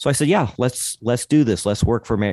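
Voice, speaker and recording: In a normal speaking voice, a man talks at a moderate pace with ordinary pitch variation against a quiet background, the sound dry and close with no echo. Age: 50s. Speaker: podcast host, guest. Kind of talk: interview podcast.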